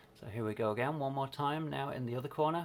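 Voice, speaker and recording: A plain, everyday voice talks fairly quickly, its pitch varying in an ordinary way. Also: man. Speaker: maker demonstrating a tool. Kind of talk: tutorial. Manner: casual.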